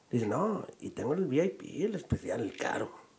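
Against noticeable background noise, a man's voice rises and falls in very wide pitch swings. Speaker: podcast host and comedian. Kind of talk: casual chat.

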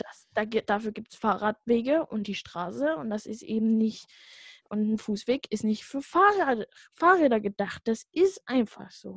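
A somewhat breathy woman at a fairly high pitch, fairly slow, with lively intonation and big swings in loudness, in a dry, close sound with no echo. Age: young. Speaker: podcast co-host. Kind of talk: casual chat.

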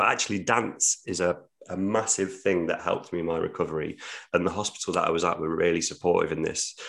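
This voice, in a British accent, moves at a very fast pace. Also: man. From English Midlands. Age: 30s. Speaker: theatre producer. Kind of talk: podcast interview.

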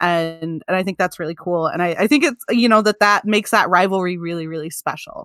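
A woman with an American accent has an ordinary speaking voice, medium in pitch with ordinary pitch variation. She talks at a fairly quick pace with hardly any pauses, in a dry, close sound with no echo. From Michigan, US. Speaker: podcast host. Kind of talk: casual chat.

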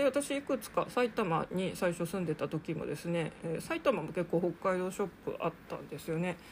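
The speaker keeps a moderate pace. There are hardly any pauses. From Japan, Sapporo (Hokkaido). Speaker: podcast host on mental health and living with difficulties. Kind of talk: casual solo podcast monologue.

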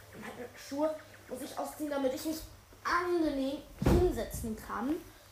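A woman talks in a high voice with ordinary pitch variation. The recording has noticeable background noise and audible room echo. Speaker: gaming podcaster. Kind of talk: let's play commentary. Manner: halting.

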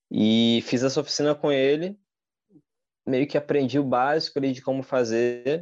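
This man's voice sits at a medium pitch with a dark, mellow tone and ordinary pitch variation. The background is quiet. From Rio de Janeiro, Brazil. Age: 30s. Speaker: street artist. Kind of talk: casual interview chat. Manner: halting, repeats words.

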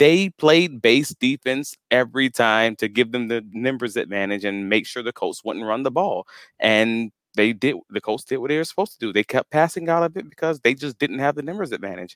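In a plain, everyday voice, a man of medium pitch talks at a fairly quick pace with lively intonation, on a very clean recording with a silent background and a dry, close sound with no echo. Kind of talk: casual sports analysis chat.

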